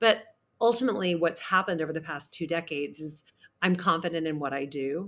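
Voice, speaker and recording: Fairly quick speech comes from a woman with a fairly low pitch. She has an unremarkable speaking voice. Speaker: charity auctioneer. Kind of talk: interview answer.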